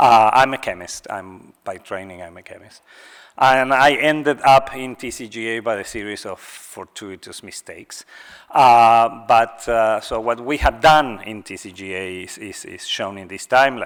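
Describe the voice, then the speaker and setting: A man speaks with a non-native accent at a moderate pace and medium pitch, using ordinary pitch variation. His loudness swings widely, in a very clean recording with a silent background. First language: not English. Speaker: scientist, cancer research program director. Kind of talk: conference talk. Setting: stage with audience. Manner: hesitant, with fillers.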